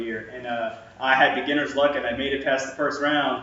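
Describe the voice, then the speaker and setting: Fairly high-pitched male voice with noticeable background noise and audible room echo. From Louisiana. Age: 20s. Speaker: college student. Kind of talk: class presentation speech. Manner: casual with many fillers.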